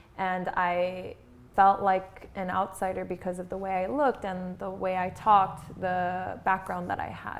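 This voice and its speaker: A woman with a Japanese accent speaks at a fairly slow pace. Her medium pitch stays monotone and flat. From Tokyo, Japan, moved to US at twelve. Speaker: beauty pageant winner. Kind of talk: interview. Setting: sorority house.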